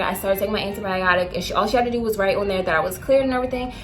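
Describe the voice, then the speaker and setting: Over background music, a woman talks at a very fast pace with ordinary pitch variation. Room echo can be heard. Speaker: beauty and lifestyle vlogger. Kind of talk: casual vlog storytime. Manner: halting, stuttering.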